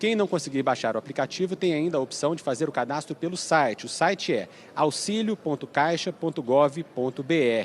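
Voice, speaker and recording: Using a plain, everyday voice, a man speaks at a moderate pace with hardly any pauses, fairly high pitch, and lively intonation. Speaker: TV news reporter. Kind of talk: live news report. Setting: presidential palace press area.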